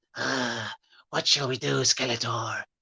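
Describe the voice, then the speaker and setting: A raspy, put-on character voice sits at a low-to-middle pitch. It moves at a fairly slow pace. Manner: sycophantic, scheming.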